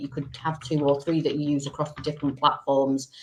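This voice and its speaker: In a Manchester accent, a woman with a very deep, low voice speaks at a moderate pace against a quiet background. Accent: quite a Manchester. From Manchester, England. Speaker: business support company director. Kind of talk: live-stream interview.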